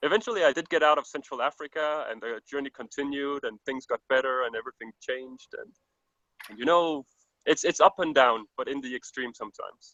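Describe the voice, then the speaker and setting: At a fairly quick pace, a man with a Danish accent talks in a fairly high, bright, sharp voice with ordinary pitch variation and big swings in loudness, the sound dry and close with no echo. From Denmark. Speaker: overland world traveller. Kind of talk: interview.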